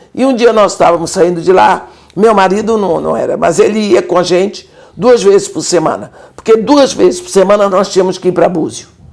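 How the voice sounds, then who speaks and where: Medium-pitched female speech, fairly quick, with ordinary pitch variation over noticeable background noise. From Bahia, Brazil. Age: 70s. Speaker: missionary. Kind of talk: interview testimony.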